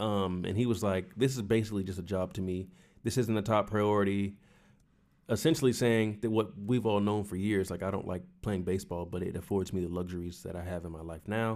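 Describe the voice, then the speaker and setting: In a very clean recording with a silent background, a man with a fairly low pitch speaks at a fairly quick pace with fairly even intonation. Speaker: baseball podcast co-host. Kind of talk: casual chat. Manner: loud.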